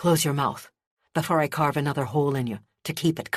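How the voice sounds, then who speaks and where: A man growls at a very fast pace with a fairly high pitch. His pitch varies in an ordinary way, and the background is quiet. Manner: threatening.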